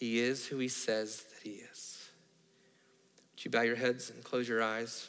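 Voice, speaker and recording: Monotone, flat intonation at a fairly slow pace, with long, frequent pauses and big swings in loudness. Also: man, medium pitch for a man. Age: 40s. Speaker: pastor. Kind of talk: sermon; altar-call invitation at close of sermon, heads bowed. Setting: church. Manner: quieter than usual; hushed, intimate, earnest pleading. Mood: quiet, earnest altar call. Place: church.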